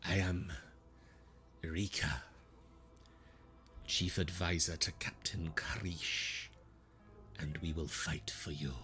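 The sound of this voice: A man's put-on character voice, very deep and low in pitch, at a fairly slow pace with long, frequent pauses and clear background noise.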